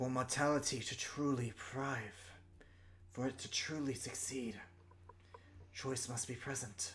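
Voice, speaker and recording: Amid clear background noise, a man in a put-on character voice speaks at a fairly slow pace with medium pitch and long, frequent pauses. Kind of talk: fantasy sage monologue. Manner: slow, weary, solemn, reflective.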